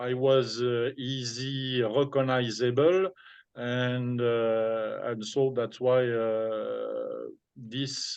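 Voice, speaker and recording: With a French accent, a man speaks at a very slow pace and medium pitch, his intonation fairly even. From France. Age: 60s. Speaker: former DJ and businessman. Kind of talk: interview. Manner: halting.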